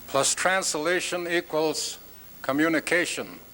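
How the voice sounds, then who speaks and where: Speaking very slowly with an Alaskan accent, a man uses a high pitch and fairly even intonation. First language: Tlingit. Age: old. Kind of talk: conference address.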